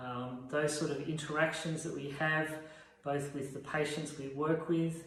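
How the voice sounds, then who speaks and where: A man's fairly high-pitched voice with an Australian accent, plus audible room echo and noticeable background noise. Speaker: veterinary radiographer. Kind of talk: informal talk to camera.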